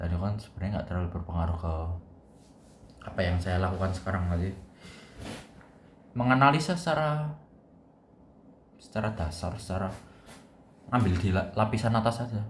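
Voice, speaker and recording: Speaking at a fairly quick pace with long, frequent pauses, a man with a very deep, low pitch and a strong Javanese accent uses lively intonation amid audible room echo. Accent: strong Javanese (medok). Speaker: university student vlogger. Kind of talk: casual vlog monologue. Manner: casual, thinking aloud with hesitations.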